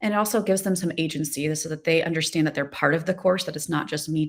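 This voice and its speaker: A woman with a normal speaking voice talks at a fairly low pitch with ordinary pitch variation. The recording is very clean, with a silent background. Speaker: design professor. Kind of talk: panel discussion.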